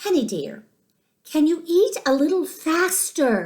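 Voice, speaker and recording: A woman uses a squeaky put-on character voice, extremely high-pitched with very wide pitch swings, at a fairly slow pace. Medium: read story. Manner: warm, motherly.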